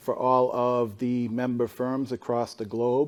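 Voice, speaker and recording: Speaking in a Boston accent, a man uses a dark, mellow tone at a fairly slow pace. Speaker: consulting firm analytics leader, panelist. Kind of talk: conference panel talk. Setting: stage with audience.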